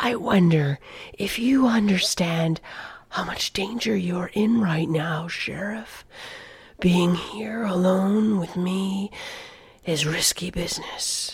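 A put-on character voice whispers at a fairly slow pace. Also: woman. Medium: read story. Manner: taunting, obnoxious, provocative.

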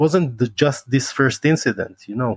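Recorded very cleanly against a silent background, a man with an Israeli accent speaks at a medium pitch, the sound dry and close with no echo. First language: Hebrew. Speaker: former special forces soldier and martial arts teacher. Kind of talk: interview.

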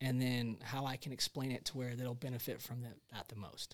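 On a very clean recording with a silent background, a man with an unremarkable speaking voice talks at a moderate pace and medium pitch. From Charleston, South Carolina. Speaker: podcast host, golf instructor. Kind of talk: casual chat.

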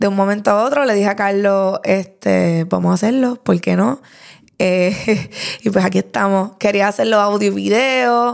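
Her loudness stays very even as a woman of medium pitch speaks at a moderate pace with ordinary pitch variation. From Puerto Rico, Lares (rural mountain town). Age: 20s. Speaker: podcast host. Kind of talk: casual solo podcast monologue.

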